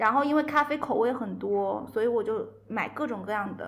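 A woman speaks with fairly high pitch and ordinary pitch variation. Audible room echo surrounds her voice. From Guangzhou, southern China. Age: young. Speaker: coffee brand entrepreneur. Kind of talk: casual chat.

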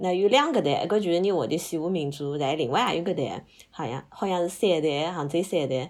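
Speaking with a Hangzhou accent, a woman uses a fairly low pitch and lively intonation at a fairly quick pace. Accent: Hangzhou Wu dialect. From Hangzhou, Zhejiang, China. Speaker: podcast guest. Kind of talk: casual chat.

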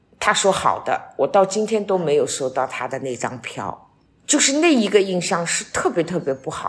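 Against noticeable background noise, a woman's voice makes very wide pitch swings and big swings in loudness. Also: medium pitch for a woman, moderate pace. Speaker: retiree, host's mother. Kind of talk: casual chat.

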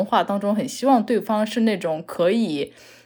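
Recorded very cleanly against a silent background, a woman with a fairly high pitch speaks at a moderate pace. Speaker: podcast guest. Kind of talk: casual chat.

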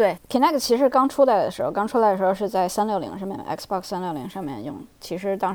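Speaking at a very fast pace, a woman with a medium pitch swings her voice very widely up and down. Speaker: software engineer, former UX designer. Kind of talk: interview. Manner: halting, many fillers.

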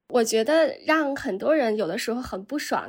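Lively intonation marks a woman speaking at a moderate pace. The recording is very clean, with a silent background. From China. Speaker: journalist. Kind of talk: casual chat.

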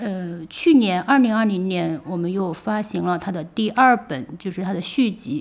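There is a plain, everyday voice here, and its pitch varies in an ordinary way. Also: woman. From China, Wuhan. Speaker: publisher. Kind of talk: interview conversation. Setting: studio in old Shanghai house. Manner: frequent fillers and laughter.

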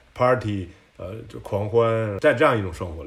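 Music plays behind a man speaking at a fairly quick pace. His voice sits at medium pitch with ordinary pitch variation. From China, Tianjin. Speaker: service designer. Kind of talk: casual chat. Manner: halting.

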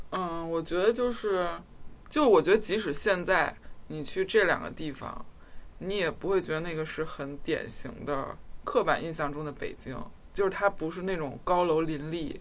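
Speech comes at a moderate pace against a quiet background. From Beijing. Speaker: podcast co-host. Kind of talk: casual chat.

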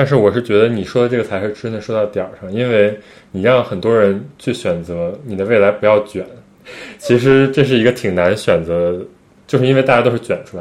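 This man has an ordinary speaking voice, fairly low in pitch with ordinary pitch variation, and talks at a fairly quick pace. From China. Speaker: podcast co-host. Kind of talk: casual chat.

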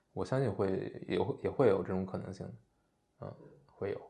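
The man's tone is dark and mellow, with a fairly low pitch. He talks at a fairly quick pace. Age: 30s. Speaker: writer and former podcast co-host. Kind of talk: casual chat.

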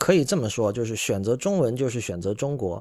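In a very clean recording with a silent background, a man with a medium-pitched voice talks at a fairly quick pace with lively intonation. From China. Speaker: podcast host. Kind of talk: solo commentary monologue. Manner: frequent filler hesitations.

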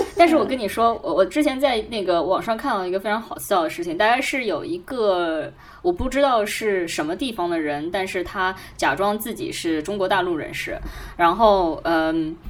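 With noticeable background noise behind her, a woman speaks at a moderate pace in a medium pitch with lively intonation. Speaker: podcast co-host. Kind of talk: casual chat.

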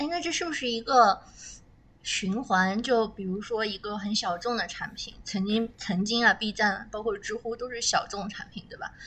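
Her pitch fairly high, a woman with an unremarkable speaking voice talks at a moderate pace with ordinary pitch variation and big swings in loudness. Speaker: podcast host. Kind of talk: casual chat. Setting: recording in a warehouse basement.

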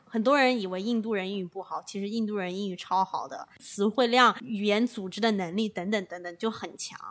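A woman with a normal speaking voice talks at a fairly quick pace with hardly any pauses and fairly even intonation. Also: medium pitch for a woman. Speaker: podcast co-host, management consultant. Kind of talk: casual chat.

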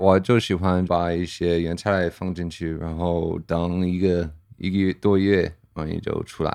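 In a very deep, low voice with an American accent, a man speaks at a fairly slow pace. His intonation is flat and monotone, and the background is quiet. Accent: American-accented Mandarin. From US, Pennsylvania. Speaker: brewer. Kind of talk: casual chat. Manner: halting.

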